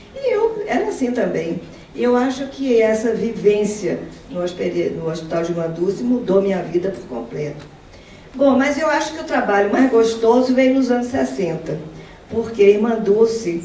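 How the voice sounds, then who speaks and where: A woman speaks at a moderate pace with a fairly high pitch and very wide pitch swings. Audible room echo and noticeable background noise surround her. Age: 70s. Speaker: retired professor and volunteer speaker. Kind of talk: testimony talk at an event. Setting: event with audience. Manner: halting, with repetitions.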